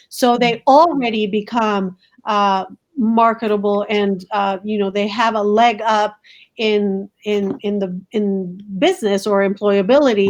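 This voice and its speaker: A medium-pitched woman with a Spanish accent, at a fairly slow pace. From Colombia. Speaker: school principal. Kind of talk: interview. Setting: video call from home. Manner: animated.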